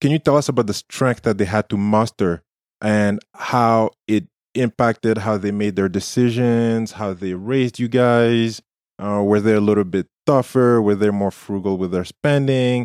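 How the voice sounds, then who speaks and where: A man with an ordinary speaking voice talks at a moderate pace and fairly low pitch, his intonation fairly even, in a dry, close sound with no echo. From war-torn country outside Canada. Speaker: podcast co-host. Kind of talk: interview.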